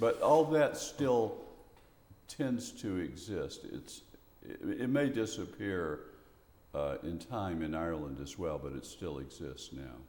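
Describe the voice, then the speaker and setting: With a Memphis accent, a man talks at a very slow pace, his loudness swinging widely against audible room echo. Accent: Southern US (Memphis). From US South, Memphis, Tennessee. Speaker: poet and retired professor. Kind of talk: interview. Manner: halting.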